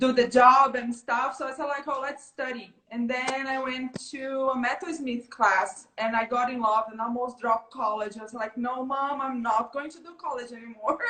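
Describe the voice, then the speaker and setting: A high-pitched woman with a Brazilian Portuguese accent talks at a moderate pace with hardly any pauses, her intonation fairly even. Her loudness swings widely, and background noise is noticeable. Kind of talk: interview.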